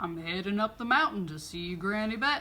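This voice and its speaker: A woman at medium pitch uses a put-on character voice at a moderate pace. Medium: read story. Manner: folksy, cheerful.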